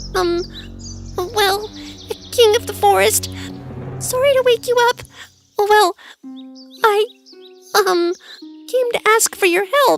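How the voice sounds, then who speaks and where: A shaky, put-on character voice comes with long, frequent pauses and faint music in the background. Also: woman, extremely high pitch for a woman, fairly slow pace. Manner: timid, polite, stammering.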